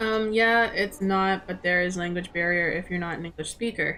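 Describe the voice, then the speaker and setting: In a Canadian accent, a woman speaks at a medium pitch with ordinary pitch variation. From Mexico and Canada. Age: 20s. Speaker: streamer, gamer. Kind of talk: casual chat. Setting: live stream. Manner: animated.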